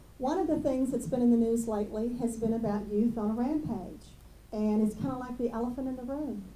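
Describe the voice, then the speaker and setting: A woman's fairly high voice, fairly quick, with ordinary pitch variation, audible room echo and noticeable background noise. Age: 60s. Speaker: school district administrator. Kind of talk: ceremony speech.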